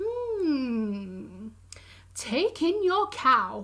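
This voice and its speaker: A woman's put-on character voice, high in pitch. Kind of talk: bedtime story. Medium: read story. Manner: calm, measured.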